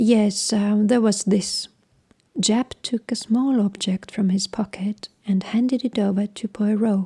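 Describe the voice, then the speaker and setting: A woman with a non-native accent talks at a fairly slow pace in a calm, flat monotone, her tone dark, mellow and somewhat breathy. Her loudness stays very even, and the sound is dry and close with no echo. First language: not English. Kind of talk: audiobook narration of a crime story. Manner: calm, relaxing.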